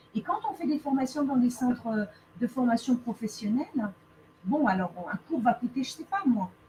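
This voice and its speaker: Speaking at a moderate pace, a woman with a high pitch uses lively intonation over noticeable background noise. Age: 30s. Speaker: lawyer turned speaker. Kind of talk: interview.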